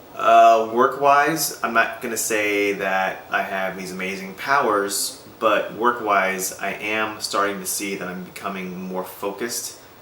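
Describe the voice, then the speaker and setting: A man's fairly low voice at a fairly slow pace with fairly even intonation, amid noticeable background noise and audible room echo. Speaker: vlogger sharing personal progress. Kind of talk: personal video diary. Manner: hesitant, many fillers.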